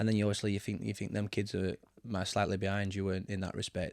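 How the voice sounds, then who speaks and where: A man with a Barnsley accent speaks in a fairly low pitch. The recording is very clean with a silent background, and the sound is dry and close with no echo. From Yorkshire, Barnsley area (from age seven). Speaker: football manager. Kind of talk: casual interview. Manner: hesitant, many fillers.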